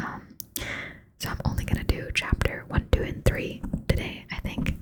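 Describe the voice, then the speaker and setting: A moderately paced whisper set against noticeable background noise. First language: not English. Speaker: ASMR creator. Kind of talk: ASMR reading aloud with casual chat. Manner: soft-spoken; hesitant, many fillers.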